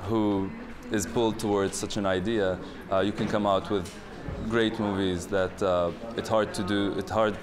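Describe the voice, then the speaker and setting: Music plays behind a man with an Arabic accent. His fairly low voice stays monotone and flat. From Palestine. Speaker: filmmaker, editor and director. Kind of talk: interview answer. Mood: calm, thoughtful. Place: hall.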